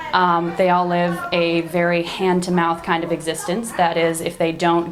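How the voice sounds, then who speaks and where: A voice with an American accent speaks in monotone, flat intonation amid audible room echo and noticeable background noise. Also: woman. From United States. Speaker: education director at a charity. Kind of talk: interview.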